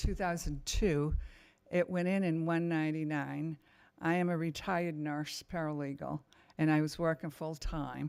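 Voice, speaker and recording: A woman with a very deep, low pitch and monotone, flat intonation at a fairly slow pace, in a very clean recording with a silent background. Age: 80s+. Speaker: resident testifying at zoning hearing. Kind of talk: public testimony. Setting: town board meeting.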